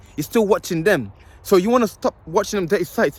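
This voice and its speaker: Heard in a dry, close sound with no echo, a man talks in an animated tone with lively intonation. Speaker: self-improvement youtuber. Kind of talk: motivational talk. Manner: fast.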